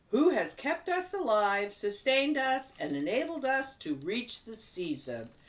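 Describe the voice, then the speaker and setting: A growling, put-on character voice, female-sounding and high-pitched, at a moderate pace with very wide pitch swings and hardly any pauses. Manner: muttering, growling.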